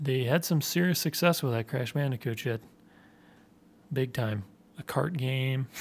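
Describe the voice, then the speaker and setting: The speaker moves at a fairly slow pace with long, frequent pauses and a somewhat breathy sound. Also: man, medium pitch for a man, ordinary pitch variation. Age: 30s. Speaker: podcast host. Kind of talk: casual chat.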